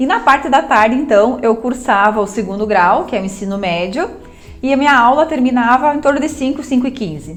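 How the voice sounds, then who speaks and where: Music plays in the background as a woman speaks at a high pitch. She talks fairly quickly with lively intonation. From southern Brazil, interior of Rio Grande do Sul. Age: 30s. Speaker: businesswoman and coach. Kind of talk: personal testimony to camera. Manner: halting, with self-corrections and fillers.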